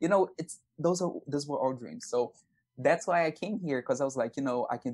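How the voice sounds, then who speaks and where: A man speaks with a Brazilian accent. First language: Portuguese. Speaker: aspiring actor and singer. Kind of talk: podcast interview. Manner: many fillers like you know and um.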